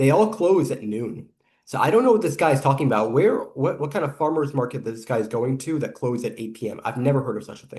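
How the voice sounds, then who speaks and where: Very fast, a man with a fairly high pitch and lively intonation talks. His voice is somewhat breathy, and his loudness swings widely. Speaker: YouTube reaction commentator. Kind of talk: reaction video commentary. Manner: hesitant with filler words.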